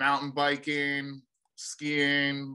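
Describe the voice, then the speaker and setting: This man has an American accent. He sounds bright and sharp in tone. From New Hampshire, US. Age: 30s. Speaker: business owner. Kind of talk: casual interview.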